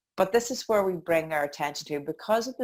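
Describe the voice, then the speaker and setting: A woman with a Northern Irish accent at a fairly quick pace, with ordinary pitch variation. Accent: Northern Irish (Tyrone). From County Tyrone, Northern Ireland. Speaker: life coach and dance instructor. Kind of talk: interview answer. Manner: upbeat.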